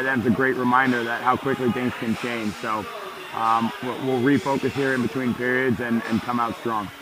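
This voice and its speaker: Noticeable background noise sits behind a man speaking at a moderate pace. His medium-pitched voice stays monotone and flat. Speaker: hockey head coach. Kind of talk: coach interview between periods. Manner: earnest, direct.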